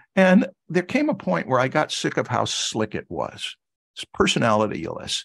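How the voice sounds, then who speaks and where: This man speaks at a moderate pace with an American accent and vocal fry, and the sound is dry and close with no echo. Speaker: art instructor. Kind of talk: lecture. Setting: video call.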